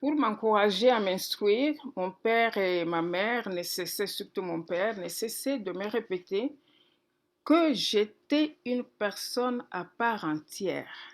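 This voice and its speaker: A woman with a fairly high pitch talks at a very slow pace, her intonation lively. The recording is very clean, with a silent background. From DR Congo, Kikwit. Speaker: pastor. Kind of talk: testimony.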